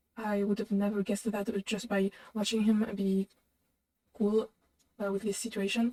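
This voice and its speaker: A woman speaks in a non-native accent at medium pitch, her tone dark and mellow. Her intonation is monotone and flat, with long, frequent pauses and a dry, close sound with no echo. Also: moderate pace. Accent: foreign. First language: not English. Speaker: reaction video host. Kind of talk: reaction commentary. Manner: halting, many fillers.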